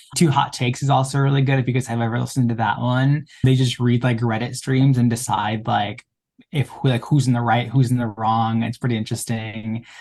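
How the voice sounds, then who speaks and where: A man speaks at a fairly quick pace in a monotone, flat intonation. His voice is somewhat breathy. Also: medium pitch for a man. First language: Spanish. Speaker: student podcast co-host. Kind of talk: casual chat.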